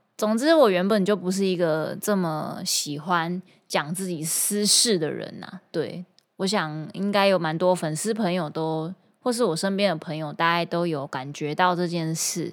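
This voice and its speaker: On a very clean recording with a silent background, a woman with a Taiwanese accent talks at a fairly low pitch and moderate pace, with ordinary pitch variation. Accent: Taiwanese Mandarin. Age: 30s. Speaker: singer and guitar teacher. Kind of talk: casual podcast monologue.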